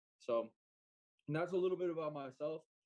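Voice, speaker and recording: The pace is very fast. The speaker has an American accent. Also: man. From Utah. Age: 20s. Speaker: entrepreneur. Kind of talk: interview.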